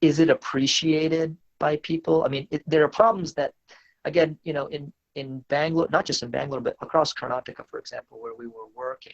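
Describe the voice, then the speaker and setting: A man with an American accent at a fairly quick pace, with ordinary pitch variation and big swings in loudness. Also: fairly high pitch for a man. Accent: American, sounds foreign to Indians. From US, West Virginia. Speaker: startup CEO. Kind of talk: podcast interview.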